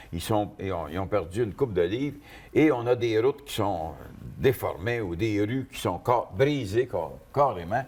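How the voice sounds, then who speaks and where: A man with a Quebec accent at a medium pitch, with lively intonation and a fairly slow pace. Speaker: car columnist. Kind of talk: casual panel discussion. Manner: halting, many repetitions.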